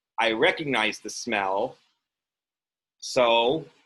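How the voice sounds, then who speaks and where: A man speaks loudly at medium pitch with ordinary pitch variation and a bright, sharp tone. The recording is very clean, with a silent background. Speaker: college instructor. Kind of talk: lecture.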